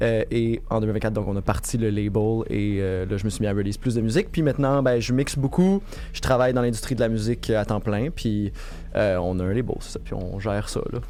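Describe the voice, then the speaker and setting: A man at a fairly quick pace and medium pitch, with ordinary pitch variation and audible room echo. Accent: Quebec. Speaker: music producer and label founder. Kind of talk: interview.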